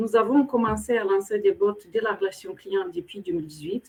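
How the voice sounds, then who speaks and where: With a slight Moldovan accent, a woman speaks at a moderate pace and ordinary pitch variation. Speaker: corporate program director. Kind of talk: webinar interview. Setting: online webinar. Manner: hesitant, many fillers.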